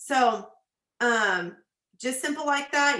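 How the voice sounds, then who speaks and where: A woman speaks with a Texan accent in a bright, sharp, animated tone. Her pitch variation is ordinary. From Texas. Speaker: nurse and business coach. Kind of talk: tutorial. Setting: video call.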